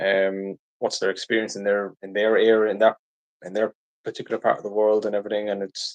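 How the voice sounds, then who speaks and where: In a strong Irish accent, a man speaks fairly quickly with monotone, flat intonation and big swings in loudness, the sound dry and close with no echo. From Ireland. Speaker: live streamer. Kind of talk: live stream Q&A chat. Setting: live stream. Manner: casual, hesitant with fillers.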